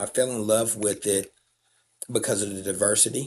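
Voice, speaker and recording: Speaking with a Southern accent, a man uses a fairly low pitch, fairly even intonation and a moderate pace. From US South, Alabama. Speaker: nonprofit CEO, former tradesman. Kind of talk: interview, personal story. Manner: casual, with many fillers.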